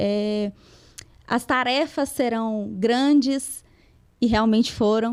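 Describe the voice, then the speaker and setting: A woman with a strong Minas Gerais accent at a very slow pace, on a very clean recording with a silent background. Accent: strong interior Minas Gerais. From Minas Gerais interior, Brazil (Lagoa da Prata). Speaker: lawyer. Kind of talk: podcast interview.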